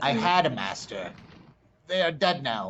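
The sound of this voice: A man puts on a character voice, fairly high in pitch, at a moderate pace.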